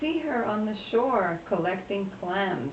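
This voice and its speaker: Lively intonation marks the woman's fairly slow speech, heard over noticeable background noise. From Puerto Rico. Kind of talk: interview answer, personal reminiscence.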